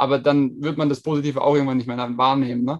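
This man has a fairly high pitch. He talks at a very fast pace. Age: 20s. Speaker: app founder. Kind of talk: podcast interview.

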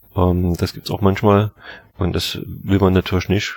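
The voice is somewhat breathy and delivered in a monotone, flat intonation at a moderate pace. The sound is dry and close, with no echo. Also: man. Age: 40s. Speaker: baker and bakery school head. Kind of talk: interview.

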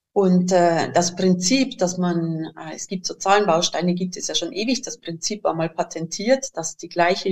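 In a Bavarian accent, a woman speaks at a moderate pace and medium pitch, with ordinary pitch variation. Her voice is somewhat breathy and swings widely in loudness. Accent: Bavarian, noticeable. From Bavaria, southern Germany. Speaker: educator and inventor of learning materials. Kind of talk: interview conversation.

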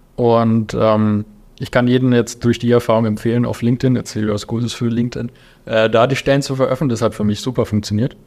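A man at a medium pitch with monotone, flat intonation, at a fairly quick pace over a quiet background. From Lower Franconia, Germany (Volkach). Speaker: aerospace engineer and drone startup founder. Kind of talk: casual interview.

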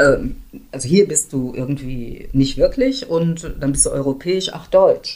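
A woman talks at a very slow pace. Her loudness swings widely. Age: 60s. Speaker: community organizer and activist. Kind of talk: interview conversation.

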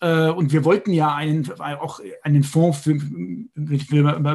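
The background is quiet. A man speaks in a fairly high pitch that sounds somewhat breathy. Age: 50s. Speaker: software entrepreneur and investor. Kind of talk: interview.

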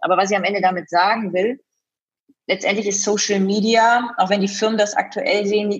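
At a moderate pace and very even loudness, a woman talks in a somewhat breathy, medium-pitched voice. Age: 30s. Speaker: event host and fitness trainer. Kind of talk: interview.

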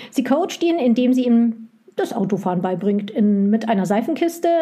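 A woman speaks at a moderate pace with lively intonation and a fairly high pitch. Noticeable background noise sits behind her. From West Germany. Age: 40s. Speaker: publisher's sales rep, former bookseller. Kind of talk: casual chat.

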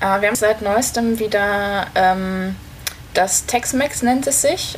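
A woman talks very slowly at a medium pitch, her intonation lively. Noticeable noise sits in the background. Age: 20s. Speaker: amateur tennis player. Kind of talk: casual interview.

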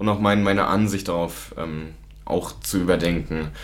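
A man talks at a moderate pace with a very deep, low pitch and lively intonation. Audible room echo and noticeable background noise surround his voice. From Lower Saxony, Germany. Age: 20s. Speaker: student recovering from alcohol problem. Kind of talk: testimony.

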